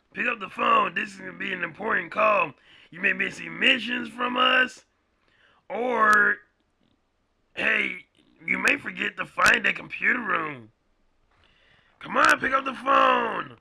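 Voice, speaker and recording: A man speaks in a raspy, put-on character voice at a moderate pace. Long pauses come often. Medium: cartoon. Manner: pushy, rambling.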